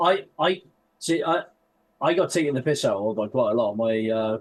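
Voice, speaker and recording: Over a quiet background, a man talks at a moderate pace with medium pitch and ordinary pitch variation. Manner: careful enunciation.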